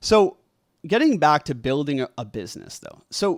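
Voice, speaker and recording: The recording is very clean over a silent background. A man speaks at a moderate pace with lively intonation. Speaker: podcast host and community entrepreneur. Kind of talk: monologue lecture to camera. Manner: shaky; casual, filler-heavy.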